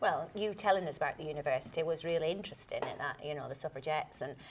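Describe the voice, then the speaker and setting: A woman is speaking. She has a Lancashire accent. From Lancashire, England. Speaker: actor. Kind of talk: interview answer.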